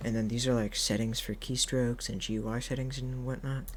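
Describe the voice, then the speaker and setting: Someone soft-spoken talks at a fairly quick pace. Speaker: gaming tutorial youtuber. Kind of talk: tutorial. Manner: halting, many fillers.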